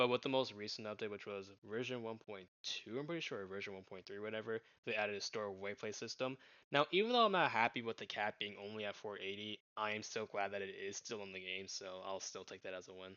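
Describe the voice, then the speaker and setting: His intonation fairly even, a man speaks in a fairly low voice. The pace is very fast. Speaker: gaming YouTuber. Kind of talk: opinion commentary video. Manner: monotone.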